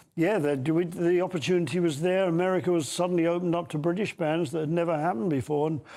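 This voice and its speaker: This man speaks at a very fast pace with hardly any pauses, his pitch high for a man. His tone is dark and mellow, and his intonation fairly even. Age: 80s+. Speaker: veteran pop band singer and bassist. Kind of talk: TV news interview.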